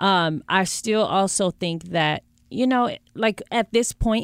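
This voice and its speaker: An American-accented woman with a normal speaking voice and a medium pitch uses ordinary pitch variation in a very clean recording with a silent background. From US West Coast, Bay Area. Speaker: reality TV personality and author. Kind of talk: casual interview chat. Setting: studio.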